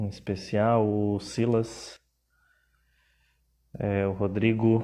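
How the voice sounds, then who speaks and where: A man's fairly low, dark and mellow voice with monotone, flat intonation, over a quiet background. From Pernambuco, northeast Brazil. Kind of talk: live stream talk. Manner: hesitant, filler words.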